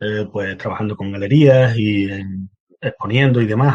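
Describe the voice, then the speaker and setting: A man at a fairly low pitch, with fairly even intonation and a moderate pace. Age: 50s. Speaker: painter and writer. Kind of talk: interview. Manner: halting, many fillers.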